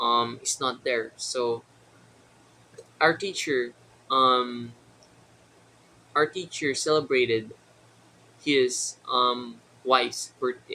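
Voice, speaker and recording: A man's medium-pitched voice, bright and sharp in tone, with a Filipino accent and a very slow pace. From Philippines. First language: Tagalog. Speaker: vlogger. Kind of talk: casual vlog monologue. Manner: halting, many fillers.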